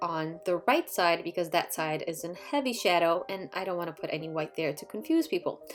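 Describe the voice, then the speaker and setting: A woman speaks with a Polish accent at a fairly low pitch. Her pitch varies in an ordinary way over noticeable background noise. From Poland, moved to the US at ten. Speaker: watercolor artist and art youtuber. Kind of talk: painting tutorial. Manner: relaxed, casual.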